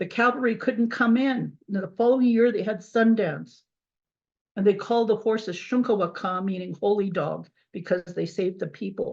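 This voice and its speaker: A woman speaks at a moderate pace with a medium pitch, ordinary pitch variation and a somewhat breathy quality. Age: 70s. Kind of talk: testimony. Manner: halting, repeats words.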